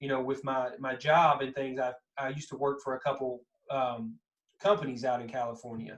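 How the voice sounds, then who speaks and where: Speaking with a strong Kentucky accent, a man keeps a medium pitch, a fairly quick pace and fairly even intonation. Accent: thick Southern Kentucky. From US South, Kentucky. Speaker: podcast host. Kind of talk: casual chat.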